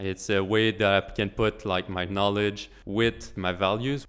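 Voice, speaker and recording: A man talks with a French accent at a fairly low pitch, his intonation fairly even. The recording is very clean, with a silent background. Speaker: engineering intern.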